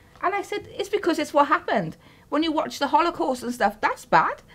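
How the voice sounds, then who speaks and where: Against noticeable background noise, a woman with a South Wales Valleys accent talks at a fairly quick pace with very wide pitch swings. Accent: Welsh valleys. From Wales, Caerphilly valleys. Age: 30s. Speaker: interviewee, mother. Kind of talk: interview. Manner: halting.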